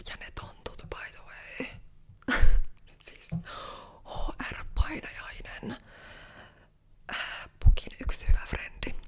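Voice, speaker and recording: The speaker is a woman. She whispers, pausing often and at length. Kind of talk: ASMR roleplay, casual chatty hairdresser talk. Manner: chatty, gossipy, casual.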